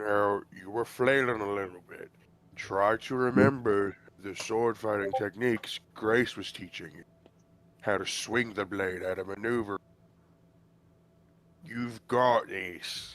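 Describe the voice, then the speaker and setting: This man puts on a character voice, fairly low in pitch, with fairly even intonation and a fairly slow pace. His loudness swings widely, and he takes long, frequent pauses. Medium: actual play. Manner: firm, blunt.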